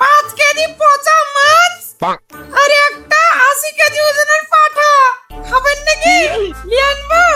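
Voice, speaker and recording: Someone speaks in a put-on character voice at a fairly slow pace. Faint music sits in the background. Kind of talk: rustic comic overacting. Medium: comedy sketch. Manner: bossy, gruff.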